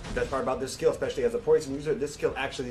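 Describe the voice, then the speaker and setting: There is noticeable background noise. Over it, a man is talking. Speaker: game stream presenter. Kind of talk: game feature presentation.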